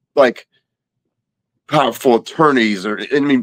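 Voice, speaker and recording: With a Louisiana accent, a man at medium pitch talks at a moderate pace, and the sound is dry and close with no echo. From Louisiana, Baton Rouge. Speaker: abuse survivor and violence prevention advocate. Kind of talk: interview.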